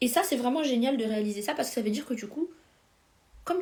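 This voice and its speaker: On a very clean recording with a silent background, a woman talks in an animated tone at a fairly high pitch with ordinary pitch variation. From France. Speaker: life coach. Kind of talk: live stream coaching talk. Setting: Instagram live stream. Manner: fast.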